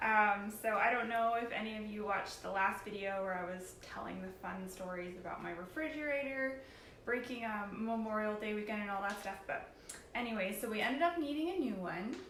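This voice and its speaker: A woman with a fairly high pitch talks at a fairly quick pace, with audible room echo and noticeable background noise. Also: ordinary pitch variation. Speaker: paint company tutorial host. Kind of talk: live tutorial. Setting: live stream on computer. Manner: hesitant, many fillers.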